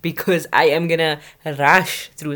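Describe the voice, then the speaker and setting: Her intonation fairly even, a woman is heard on a very clean recording with a silent background. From South Africa. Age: 20s. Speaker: podcast host. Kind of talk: solo commentary podcast.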